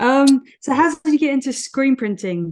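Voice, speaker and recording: Speaking at a moderate pace, a woman uses lively intonation in a British accent. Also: quiet background. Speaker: podcast host. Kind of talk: casual interview chat.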